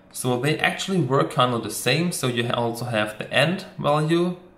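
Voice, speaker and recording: Amid audible room echo, a man speaks at a fairly slow pace with lively intonation and a bright, sharp tone. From Germany. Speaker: motion designer and tutorial creator. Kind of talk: software tutorial. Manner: casual, with frequent fillers.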